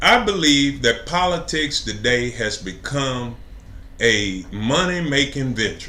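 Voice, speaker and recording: A man with an American accent, very slow pace, lively intonation and audible room echo. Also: medium pitch for a man. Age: 60s. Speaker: city council candidate. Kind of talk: interview. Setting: live stream interview.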